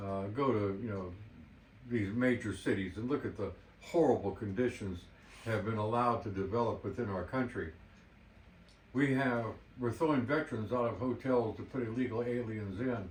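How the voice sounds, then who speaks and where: With audible room echo, a man talks at a moderate pace in a somewhat breathy, medium-pitched voice with ordinary pitch variation and long, frequent pauses. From United States. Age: 70s. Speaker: martial arts instructor. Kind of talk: monologue, advice vlog. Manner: animated.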